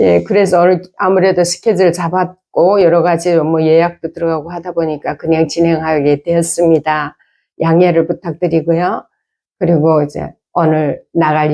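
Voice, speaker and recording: Against a quiet background, a woman with a fairly low voice and a dark, mellow tone speaks in a monotone with flat intonation. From North Korea. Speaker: North Korean defector YouTuber and singer. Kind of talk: casual chat.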